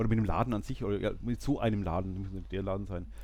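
Audible room echo accompanies speech delivered at a moderate pace. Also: man. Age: 40s. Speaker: podcast host. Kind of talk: casual chat. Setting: bookshop before opening.

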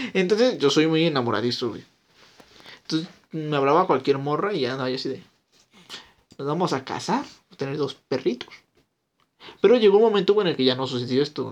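Intonation is lively and the pace fairly quick. Long pauses come often. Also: man, fairly high pitch for a man. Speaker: podcast co-host. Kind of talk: casual chat.

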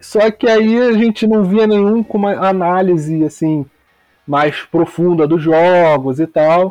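A man with a Rio de Janeiro accent speaks at a very slow pace in a high pitch, with ordinary pitch variation and very even loudness. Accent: Carioca Brazilian Portuguese. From Rio de Janeiro, West Zone (Campo Grande). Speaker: football podcaster, podcast listener. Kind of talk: casual chat.

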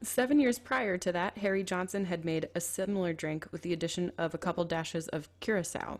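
A woman with an American accent and a normal speaking voice talks at a fairly quick pace, her fairly low pitch showing ordinary variation. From Minnesota, Twin Cities. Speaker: podcast host. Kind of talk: scripted narration; casual chat.

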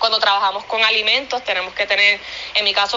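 Medium pitch from a woman against noticeable background noise. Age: 30s. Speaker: professional dancer and pet product maker. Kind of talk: interview.

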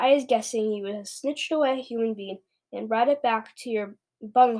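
Behind the speech, everything is quiet. A natural reading voice shows ordinary pitch variation.

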